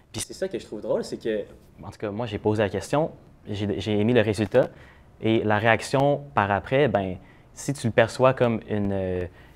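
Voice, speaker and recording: With big swings in loudness and long, frequent pauses, a man talks at a moderate pace in a medium pitch with ordinary pitch variation. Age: 20s. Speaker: social media influencer. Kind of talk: casual interview. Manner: hesitant, many fillers.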